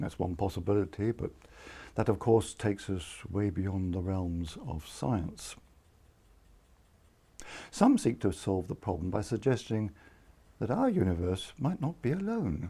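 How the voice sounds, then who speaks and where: A soft-spoken man talks in a fairly low pitch with a dark, mellow tone, somewhat breathy, using ordinary pitch variation. His pace is fairly slow with long, frequent pauses on a very clean recording with a silent background. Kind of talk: sleep story.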